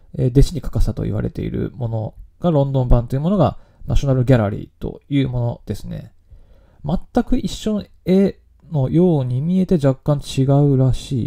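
A man's fairly high, somewhat breathy voice with a dark, mellow tone, lively intonation and a moderate pace. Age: 30s. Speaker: podcast host. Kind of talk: solo podcast talk on news. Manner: casual with frequent fillers.

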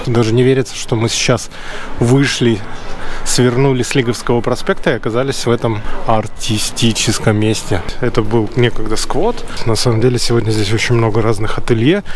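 The sound is dry with no echo, under light background noise. A man speaks at a moderate pace with fairly even intonation and very even loudness. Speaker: vlogger guide. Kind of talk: casual vlog chat. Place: street. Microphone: phone near.

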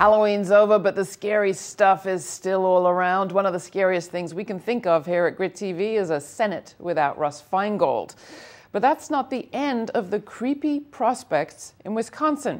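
Lively in intonation, a woman speaks at a moderate pace and medium pitch. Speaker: political commentator. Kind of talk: news commentary. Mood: wry, critical. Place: studio. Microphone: lapel.

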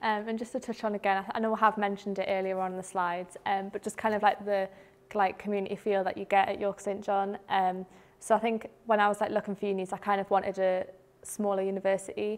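A woman rushes along at a very fast pace, her medium-pitched voice flat and monotone. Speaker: student ambassador; presenter. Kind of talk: casual chat. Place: classroom.

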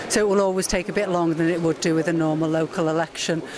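Over noticeable background noise, the speech has fairly even intonation and a dry sound with no echo. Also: woman. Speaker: council chief executive and returning officer; council chief executive. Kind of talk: interview at an election count. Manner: measured, formal. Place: hall. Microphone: handheld.

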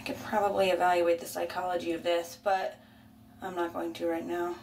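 Light background noise sits behind a woman speaking at a fairly low pitch. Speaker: vlogger. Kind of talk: casual talk to camera. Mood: playful, self-mocking. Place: bathroom. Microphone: phone near.

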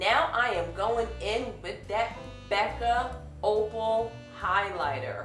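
With clear music in the background and audible room echo, a woman speaks at a very slow pace. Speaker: beauty vlogger. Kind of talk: makeup tutorial. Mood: upbeat, chatty. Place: home room.

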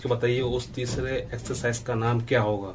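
A man speaks in a somewhat breathy voice with monotone, flat intonation over light background noise. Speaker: fitness youtuber. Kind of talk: casual tutorial chat.

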